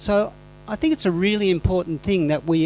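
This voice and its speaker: There is music in the background as a man talks with an Australian accent. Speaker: composting teacher, conference speaker. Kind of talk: conference presentation. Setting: conference hall with audience.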